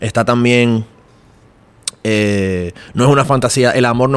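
At a moderate pace, a man talks in a medium pitch. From Dominican Republic. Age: 20s. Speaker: podcaster and creative director. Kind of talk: casual chat. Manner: animated.

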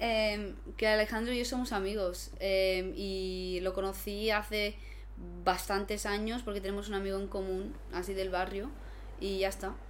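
Fairly slow speech from a woman, carrying audible room echo. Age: 20s. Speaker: basketball player and content creator. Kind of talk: casual chat.

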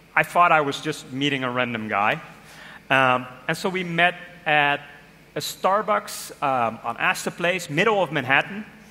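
Here a man's voice has a bright, sharp tone and a fairly high pitch. He uses lively intonation at a moderate pace. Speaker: design manager. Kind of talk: interview on stage.

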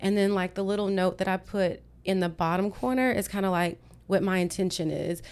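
With an American accent, a woman talks at a fairly quick pace and medium pitch, her loudness very even and her intonation fairly even. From Texas. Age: 40s. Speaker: fitness instructor. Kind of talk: casual interview. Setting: studio.

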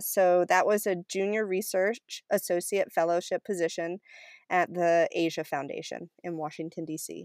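A woman talks in an ordinary speaking voice at medium pitch and a moderate pace, with fairly even intonation. The recording is very clean with a silent background and a dry, close sound with no echo. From Maine, US (Cumberland). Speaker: community composter and climate policy advocate. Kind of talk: interview.

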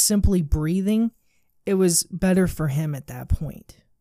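Recorded dry and close with no echo, the track is very clean with a silent background. A woman with an ordinary speaking voice talks at a moderate pace with lively intonation. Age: 20s. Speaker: podcast host. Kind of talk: motivational monologue. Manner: casual, conversational.

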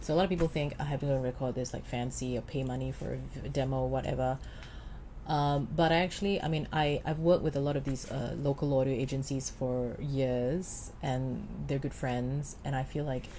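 A woman's very deep, low voice with a dark, mellow tone, vocal fry, fairly even intonation, and a fairly quick pace. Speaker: voice coach and actress. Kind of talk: casual interview chat.

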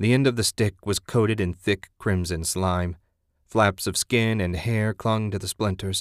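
All is quiet in the background. Over it comes an unforced reading voice.

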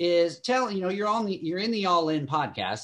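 A man talks with a Southern US accent. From Kentucky. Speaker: podcast host. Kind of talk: casual chat. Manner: animated.

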